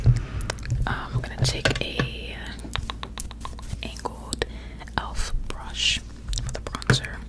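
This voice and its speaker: Amid noticeable background noise, a soft-spoken woman whispers. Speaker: ASMR creator. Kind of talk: ASMR makeup tutorial ramble. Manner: whispered, soft-spoken.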